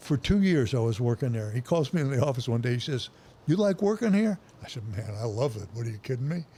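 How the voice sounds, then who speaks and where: With very wide pitch swings, a man talks at a very fast pace in a somewhat breathy voice of medium pitch and a dark, mellow tone. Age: 80s+. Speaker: retired football coach. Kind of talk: casual interview storytelling.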